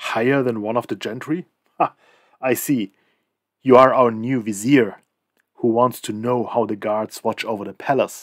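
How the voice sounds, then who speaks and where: A man's gruff, put-on character voice at medium pitch, moderate pace and fairly even intonation, with long, frequent pauses, on a very clean recording with a silent background. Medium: read story. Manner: gruff, scornful.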